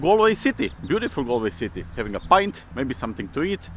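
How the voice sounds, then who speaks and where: A man with a Balkan accent speaks at a moderate pace with very wide pitch swings. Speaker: vlogger. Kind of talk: casual vlog, reacting to comments. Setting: outdoors, walking through city.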